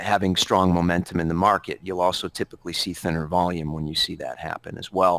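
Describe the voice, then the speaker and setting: A man speaks in a monotone, flat intonation, the sound dry and close with no echo. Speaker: trading educator. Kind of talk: webinar lecture. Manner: halting, many fillers.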